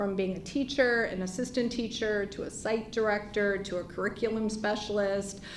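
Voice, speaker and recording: A woman talks at a moderate pace with hardly any pauses, her fairly high voice fairly even in intonation amid audible room echo. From US, Chicago. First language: not English. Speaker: nonprofit CEO, former early childhood teacher. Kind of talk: panel presentation.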